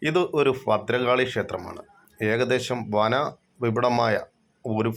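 The man's voice shows ordinary pitch variation on a very clean recording with a silent background. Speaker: travel vlogger. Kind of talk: vlog narration. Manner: halting.

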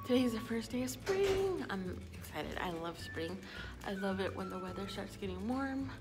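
With clear music playing behind her, a woman speaks at a moderate pace. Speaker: vlogger. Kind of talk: casual vlog chat. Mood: cheerful, a bit sleepy. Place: hall. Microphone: phone near.

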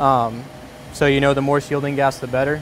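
Recorded with a dry sound with no echo and light background noise, a man speaks at a fairly quick pace. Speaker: welding instructor. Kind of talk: tutorial. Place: workshop.

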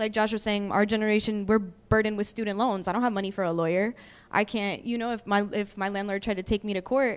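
A woman with an American accent talks at a very fast pace in a monotone, flat intonation. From Jersey City, New Jersey; New Jersey. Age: 20s. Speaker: community activist; panelist. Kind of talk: panel discussion. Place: hall. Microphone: handheld.

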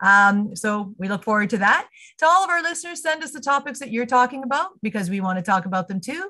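Speaking at a very fast pace with a Canadian accent, a woman uses a fairly high, bright, sharp voice that makes very wide pitch swings. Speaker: chamber of commerce podcast host. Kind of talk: podcast interview. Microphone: video call.

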